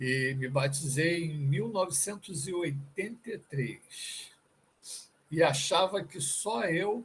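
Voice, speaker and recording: The intonation is lively. The pace is very slow. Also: man, fairly high pitch for a man. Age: 60s. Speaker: church member. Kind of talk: testimony.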